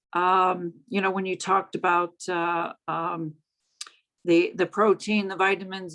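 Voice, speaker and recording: Her pitch medium and her intonation monotone and flat, a woman speaks at a fairly slow pace. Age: 60s. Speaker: webinar attendee asking a question. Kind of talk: audience question. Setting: video call. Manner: halting, many fillers and restarts.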